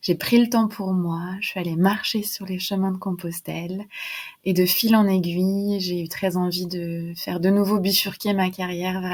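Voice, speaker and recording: In a very clean recording with a silent background, a woman speaks in a somewhat breathy, monotone voice with flat intonation. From western France, near Nantes. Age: 20s. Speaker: sophrologist and mental health entrepreneur. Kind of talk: podcast interview.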